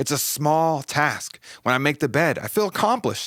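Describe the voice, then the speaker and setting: Over a very clean recording with a silent background, a man speaks in an animated tone at a moderate pace. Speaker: podcast host. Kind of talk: solo podcast monologue. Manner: stuttering.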